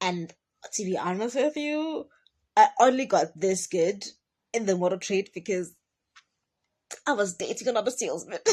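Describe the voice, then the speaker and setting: The recording is very clean, with a silent background. A woman speaks in a somewhat breathy voice with lively intonation. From South Africa, Durban. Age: 20s. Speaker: car salesperson and vlogger. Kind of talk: casual talking-head vlog. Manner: rambling.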